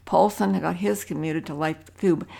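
A woman speaks at a fairly slow pace in a very deep, low voice with very wide pitch swings, on a very clean recording with a silent background. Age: 80s+. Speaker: author and retired hiker. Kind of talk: casual chat. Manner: halting.

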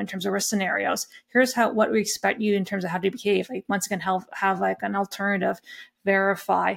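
Speaking fairly quickly with a western Canadian accent, a woman uses vocal fry at a medium pitch in a very clean recording with a silent background. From Canadian prairies, Alberta (Lethbridge area). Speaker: risk and governance expert, accountant. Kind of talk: interview, expert discussion.

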